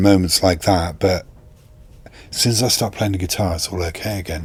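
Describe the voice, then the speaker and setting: A man's very deep, low, somewhat breathy voice moves with fairly even intonation and long, frequent pauses. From England, Northampton (East Midlands). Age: 60s. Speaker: guitarist. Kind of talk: casual interview chat.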